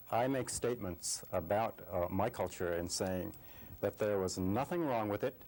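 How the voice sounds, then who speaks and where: At a moderate pace, a man with an Alaskan accent speaks with a fairly low pitch, ordinary pitch variation and very even loudness. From Alaska, Inupiaq. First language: Inupiaq. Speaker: TV interviewer. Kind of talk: interview. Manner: halting.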